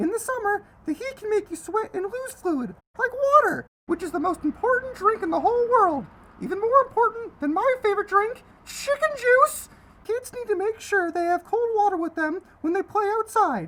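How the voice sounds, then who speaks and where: At a moderate pace, a woman uses a cartoonish character voice at an extremely high pitch. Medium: puppet.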